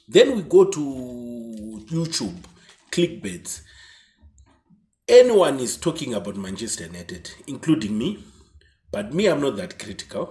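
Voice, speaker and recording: With long, frequent pauses and big swings in loudness, a man speaks fairly slowly at a medium pitch, his somewhat breathy, dark, mellow voice swinging very widely in pitch. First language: not English. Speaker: football YouTuber. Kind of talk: casual commentary monologue. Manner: halting.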